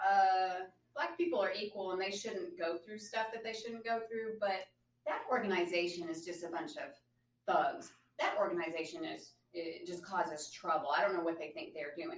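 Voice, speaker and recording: A woman speaks with a Southern US accent and lively intonation. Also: medium pitch for a woman, moderate pace. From Arkansas. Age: 40s. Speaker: attorney. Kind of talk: interview.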